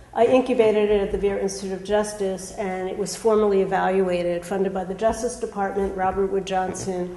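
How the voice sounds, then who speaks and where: Amid noticeable background noise and audible room echo, a woman speaks at a very fast pace with hardly any pauses, in a flat monotone at a medium pitch. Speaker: parole board commissioner. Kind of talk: formal self-introduction at a public meeting. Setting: public board meeting.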